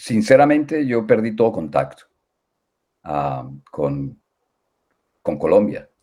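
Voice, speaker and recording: A man speaks at a very slow pace with long, frequent pauses, in a dark, mellow tone of fairly low pitch with very wide pitch swings. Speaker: music education professor. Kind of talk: interview. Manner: halting, many fillers.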